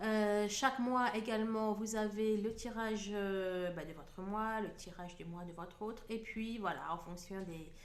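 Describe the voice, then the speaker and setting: Over noticeable background noise and audible room echo, a woman speaks fairly slowly at medium pitch with fairly even intonation, big swings in loudness and hardly any pauses. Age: 40s. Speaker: hypnotherapist and card reader. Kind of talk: channel introduction. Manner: hesitant, many filler words.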